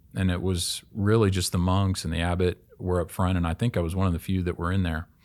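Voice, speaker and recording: A man with a Midwestern American accent and a very deep, low pitch speaks at a fairly quick pace, recorded very cleanly against a silent background. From Kansas City, Kansas. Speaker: college advancement officer, former pastor. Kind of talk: conversion testimony in casual chat. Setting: studio.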